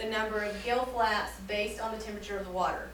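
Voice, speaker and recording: Speaking with an American accent, a woman uses a fairly high pitch and ordinary pitch variation at a moderate pace. Room echo can be heard. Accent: slight Southern accent, sometimes creeps out. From US South. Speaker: science teacher. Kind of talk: classroom lesson. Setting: classroom with students.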